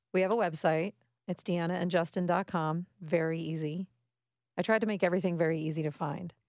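With an American accent and a plain, everyday voice, a woman speaks fairly quickly at a fairly low pitch with fairly even intonation, in a very clean recording with a silent background. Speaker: podcast co-host. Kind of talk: casual chat.

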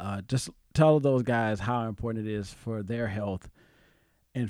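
This man has an unremarkable speaking voice with a fairly low pitch and ordinary pitch variation. He talks at a fairly slow pace in a very clean recording with a silent background. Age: 40s. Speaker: podcast host. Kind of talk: casual chat.

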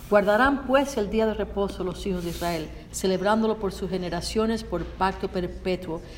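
A woman speaks very fast at a medium pitch. She barely pauses, and there is noticeable background noise. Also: ordinary pitch variation. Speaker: Spanish interpreter. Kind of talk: consecutive interpretation of a sermon.

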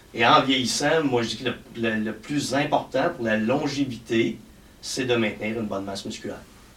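A man's medium-pitched, unremarkable speaking voice at a moderate pace, with ordinary pitch variation. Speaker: fitness and health coach. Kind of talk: casual chat.

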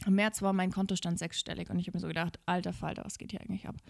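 A woman's voice at a medium pitch. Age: 30s. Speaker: podcast host and business coach. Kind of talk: motivational monologue. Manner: animated.

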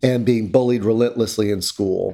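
A man with an American accent uses an ordinary speaking voice, at a medium pitch and moderate pace. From US South, North Carolina. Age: 50s. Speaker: LGBT rights organization leader. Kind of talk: interview.

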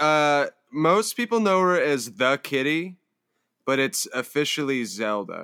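A man with an American accent and a fairly high pitch speaks in a bright, sharp tone with very wide pitch swings and very even loudness, in a dry, close sound with no echo on a very clean recording over a silent background. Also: fairly slow pace. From US West Coast, Palo Alto, California. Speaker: musician. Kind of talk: casual chat.

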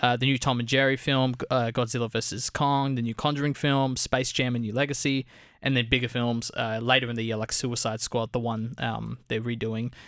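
A man with an Australian accent, fairly quick and monotone, flat in intonation with hardly any pauses, on a very clean recording with a silent background. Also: medium pitch for a man. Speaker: film podcast co-host. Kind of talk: casual chat.

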